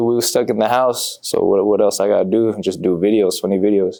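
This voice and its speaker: An American accent marks this man's monotone, flat delivery at medium pitch and a fairly quick pace. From Bay Area, California (Fairfield). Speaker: comedian. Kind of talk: casual interview.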